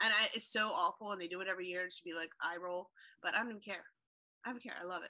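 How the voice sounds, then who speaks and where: A loud, animated woman's voice, medium in pitch, with a bright, sharp tone and a very fast pace. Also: ordinary pitch variation. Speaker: podcast co-host. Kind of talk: casual chat, humorous.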